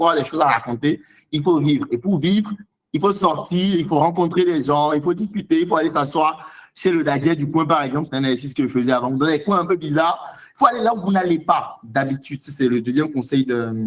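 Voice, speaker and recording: Animated in tone, a man speaks at a fairly quick pace with a fairly high pitch and ordinary pitch variation. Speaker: seminar speaker on writing. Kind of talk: online seminar Q&A. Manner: fast.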